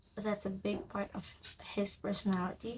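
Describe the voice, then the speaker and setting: Somewhat breathy and medium in pitch, a woman speaks at a very slow pace over light background noise. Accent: non-native. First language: not English. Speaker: writer vlogger. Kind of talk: casual vlog. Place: home room. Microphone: phone near.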